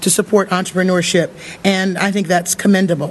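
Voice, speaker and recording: Noticeable background noise runs under the recording. The speaker talks at a fairly quick pace. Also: man. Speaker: government official. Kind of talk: speech. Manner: halting.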